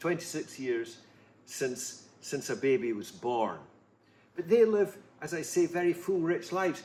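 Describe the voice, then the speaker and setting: A man with a fairly high pitch speaks with lively intonation. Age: 70s. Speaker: author. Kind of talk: interview answers. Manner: halting.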